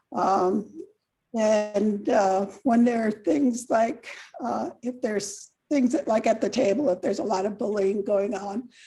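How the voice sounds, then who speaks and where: A woman's fairly high voice sounds somewhat breathy, with a dark, mellow tone. She moves at a moderate pace with ordinary pitch variation. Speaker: council candidate. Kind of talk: candidate forum answer.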